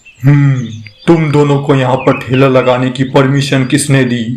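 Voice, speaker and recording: A man's cartoonish character voice at a medium pitch, monotone and flat in intonation, at a moderate pace. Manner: stern, bossy.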